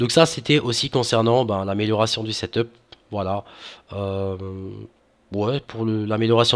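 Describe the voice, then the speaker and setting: A man talks at a fairly slow pace with fairly even intonation. He leaves long, frequent pauses. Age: 20s. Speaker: gaming youtuber; gaming channel host. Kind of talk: casual vlog to viewers. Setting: home recording with webcam. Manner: hesitant, many fillers. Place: home room. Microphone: headset.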